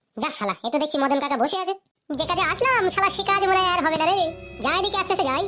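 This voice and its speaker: A squeaky, cartoonish character voice races along at a very fast pace, with faint music in the background. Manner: coarse, swears constantly.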